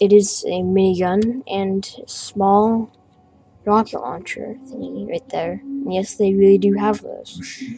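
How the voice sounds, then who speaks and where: Noticeable background noise sits behind a woman's voice. She speaks at a very slow pace with big swings in loudness. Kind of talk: casual talk to camera, toy review. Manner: hesitant, many fillers.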